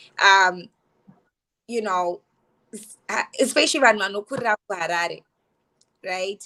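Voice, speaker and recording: Bright and sharp in tone, a woman speaks at a medium pitch and a fairly slow pace. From Zimbabwe. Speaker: online talk show host. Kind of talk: casual chat.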